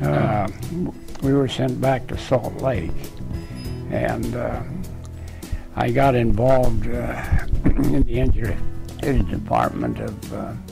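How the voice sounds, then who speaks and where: Against clear music in the background, a man speaks at a very slow pace with long, frequent pauses. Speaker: retired engineer. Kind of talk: interview answer. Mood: relaxed reminiscing. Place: home room. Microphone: lapel.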